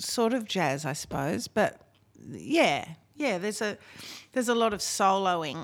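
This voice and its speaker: Very slow delivery with lively intonation, in an Australian accent, on a very clean recording with a silent background. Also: woman. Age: 50s. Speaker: singer-songwriter and music producer. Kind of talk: casual chat.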